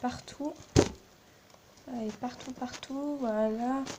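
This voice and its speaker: A soft-spoken, high-pitched woman's voice amid noticeable background noise. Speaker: slime video maker. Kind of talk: tutorial.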